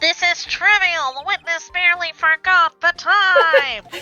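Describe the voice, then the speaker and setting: With music in the background, a put-on character voice sits at an extremely high pitch and moves at a fairly slow pace. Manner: dismissive.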